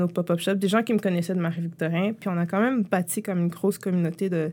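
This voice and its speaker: A woman's medium-pitched voice at a very fast pace, ordinary pitch variation, on a very clean recording with a silent background. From Quebec, Montreal-Nord. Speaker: entrepreneur. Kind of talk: interview. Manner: casual, halting with fillers.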